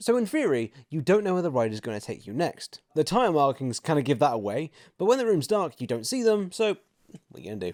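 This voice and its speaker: In a British accent, a man with a fairly high voice talks at a very fast pace, with very wide pitch swings and big swings in loudness, on a very clean recording with a silent background. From Britain. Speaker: theme park reviewer, YouTuber. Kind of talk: scripted video narration. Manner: casual, humorous narration.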